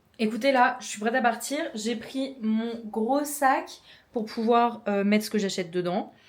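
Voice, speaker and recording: With a Norman accent, a woman speaks at a fairly high pitch and a fairly slow pace, with ordinary pitch variation. Audible echo surrounds her voice. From France, Normandy. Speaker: vlogger. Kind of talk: casual vlog talk to camera. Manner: casual, filler-heavy (euh, genre).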